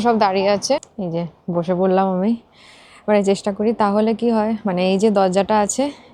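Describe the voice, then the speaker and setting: Here a woman talks in an ordinary speaking voice at a medium pitch. Her intonation is fairly even. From West Bengal, India (Purba Bardhaman, near Nabadwip). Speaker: vlogger. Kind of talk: vlog narration. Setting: outdoors and in shops, on bus and tram.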